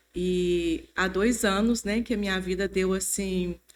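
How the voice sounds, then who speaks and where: In a very clean recording with a silent background, a woman has a normal speaking voice. Her medium pitch comes with fairly even intonation. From Brazil, Mantena (Minas Gerais). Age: 50s. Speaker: church member sharing testimony. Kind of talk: testimony.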